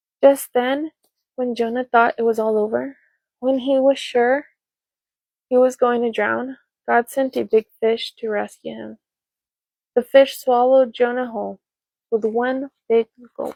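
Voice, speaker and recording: A soft-spoken woman's high voice, dark and mellow in tone, flat and monotone, at a fairly slow pace with long, frequent pauses, in a dry, close sound with no echo. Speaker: ASMR storyteller. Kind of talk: read story.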